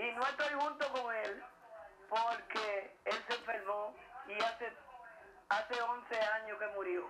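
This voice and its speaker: A woman with a fairly high pitch speaks at a very slow pace. Audible room echo and noticeable background noise are present. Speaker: caller. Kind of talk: casual chat.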